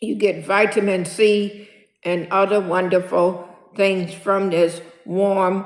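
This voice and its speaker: Very slow, flat, monotone speech with audible room echo. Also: woman. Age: 60s. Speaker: senior lifestyle vlogger. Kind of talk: casual vlog monologue. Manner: repetitive, filler-heavy.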